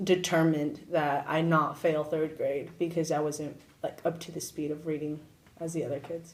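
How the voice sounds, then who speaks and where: A woman speaks with a Spanish accent. Her voice is very deep and low, with monotone, flat intonation. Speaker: university student. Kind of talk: interview.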